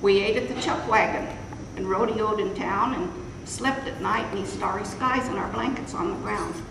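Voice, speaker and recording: At a moderate pace, a woman talks at a medium pitch with ordinary pitch variation over noticeable background noise. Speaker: cowboy poet. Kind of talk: poetry reading. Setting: live room without microphone.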